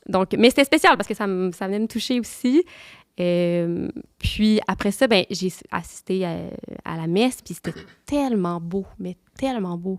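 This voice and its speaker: In a Quebec accent, a woman at a medium pitch speaks with ordinary pitch variation, big swings in loudness, and long, frequent pauses, the sound dry and close with no echo on a very clean recording with a silent background. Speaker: nun. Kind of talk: testimony. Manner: fast; halting.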